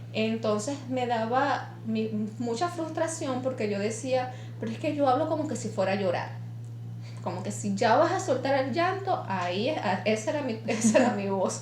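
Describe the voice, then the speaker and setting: Noticeable background noise and audible echo from the room fill the recording. A woman talks at a moderate speed. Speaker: podcast co-host. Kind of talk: casual chat.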